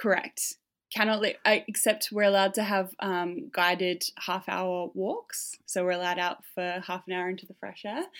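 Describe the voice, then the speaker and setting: In a very clean recording with a silent background, a woman with an Australian accent talks at a moderate pace in a medium pitch, her intonation fairly even but her loudness swinging widely. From Tasmania, Australia. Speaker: campaign founder and scholarship recipient. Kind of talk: interview. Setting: hotel quarantine room.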